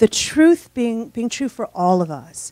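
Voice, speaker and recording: A woman speaks at a moderate pace with fairly high pitch and lively intonation. The sound is dry with no echo, over a quiet background. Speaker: physicist and author; speaker. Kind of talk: lecture. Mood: wondering, enthusiastic. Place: hall. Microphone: handheld.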